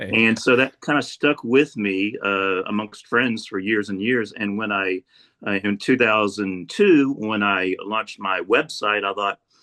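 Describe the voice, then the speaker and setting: A man with a normal speaking voice talks at a fairly slow pace, his fairly low pitch showing ordinary variation. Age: 60s. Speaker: architect and art environment documenter. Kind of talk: casual interview.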